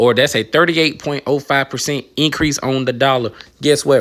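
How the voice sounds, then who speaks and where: Animated in tone, a man talks at a fairly quick pace with ordinary pitch variation. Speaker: retail investing YouTuber. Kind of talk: casual portfolio update vlog.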